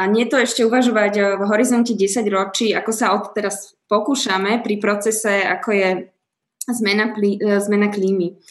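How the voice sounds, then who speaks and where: Loudness stays very even throughout this monotone voice with flat intonation. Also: woman, medium pitch for a woman. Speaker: podcast host. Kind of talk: interview. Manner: slow.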